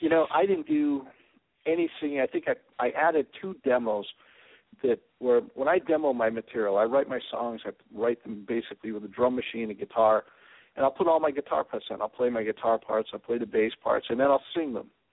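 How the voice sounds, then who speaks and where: This man has an ordinary speaking voice at a medium pitch. He talks at a fairly quick pace with ordinary pitch variation. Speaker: rock band musician. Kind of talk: live phone interview. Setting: phone call.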